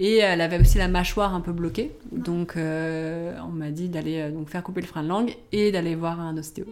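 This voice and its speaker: The speech moves at a moderate pace with hardly any pauses and fairly even intonation. Audible room echo is present. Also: woman, fairly low pitch for a woman. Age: 30s. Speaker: journalist and online shop owner, mother. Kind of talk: casual interview about breastfeeding. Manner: hesitant, many fillers.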